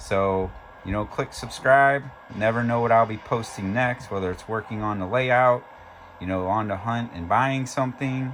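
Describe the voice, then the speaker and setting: Medium-pitched male speech at a moderate pace, with ordinary pitch variation and noticeable background noise. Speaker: model railroad hobbyist YouTuber. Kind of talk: casual product review. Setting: home train room. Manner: occasional stumbling over words.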